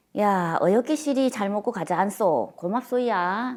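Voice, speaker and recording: A woman with a Gangwon accent talks at a moderate pace with a medium pitch and lively intonation on a very clean recording with a silent background. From Gangneung, Gangwon. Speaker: dialect preservation adviser. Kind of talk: interview answer.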